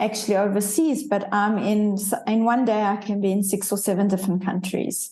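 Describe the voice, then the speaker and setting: A woman's medium-pitched, somewhat breathy voice with a dark, mellow tone and a South African accent, fairly quick with hardly any pauses, fairly even intonation and very even loudness. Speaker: leadership coach. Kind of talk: interview conversation.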